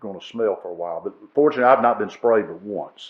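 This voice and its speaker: With ordinary pitch variation, a man speaks in a Southern US accent. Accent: Southern American. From northern Alabama. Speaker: retired judge and historian. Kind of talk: podcast interview answer.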